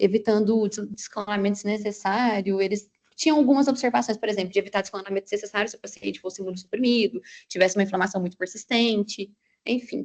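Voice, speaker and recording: Very fast speech from a woman carries ordinary pitch variation. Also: medium pitch for a woman, big swings in loudness. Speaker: medical resident presenting articles. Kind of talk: clinical journal club presentation.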